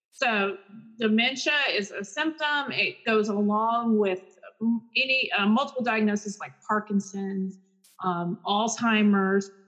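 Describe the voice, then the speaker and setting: An American accent marks a woman's unremarkable speaking voice, which moves at a fairly slow pace with ordinary pitch variation. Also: fairly high pitch for a woman. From Texas, Garland. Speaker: speech-language pathologist. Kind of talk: casual interview.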